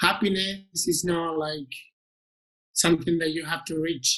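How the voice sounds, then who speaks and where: Speaking in a Spanish accent, a man talks at a fairly slow pace in a high pitch with monotone, flat intonation. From Spain. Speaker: interview guest. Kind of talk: interview podcast. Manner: halting.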